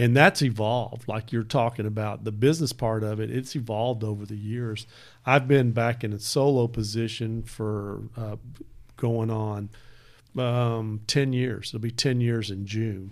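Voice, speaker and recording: A man speaks fairly slowly with a Texan accent. His pitch is medium and his intonation fairly even. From Texas, Bedford area. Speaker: lawyer. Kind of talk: casual chat.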